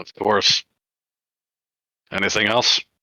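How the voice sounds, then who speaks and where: Using a put-on character voice, a man sounds raspy at a fairly low pitch. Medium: actual play. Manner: brief, formal, obedient.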